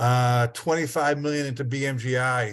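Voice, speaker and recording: With a northern Massachusetts accent, a man of medium pitch speaks at a moderate pace in a flat monotone. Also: quiet background. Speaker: state broadband program official. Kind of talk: meeting presentation.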